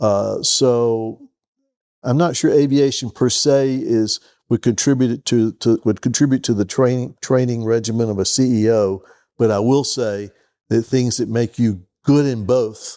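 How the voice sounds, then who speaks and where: A man with a Southern US accent talks fairly slowly, his tone dark and mellow, his pitch medium and his intonation fairly even. The recording is very clean, with a silent background and a dry, close sound with no echo. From US South (Georgia). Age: 70s. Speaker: retired business executive and pilot. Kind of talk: interview.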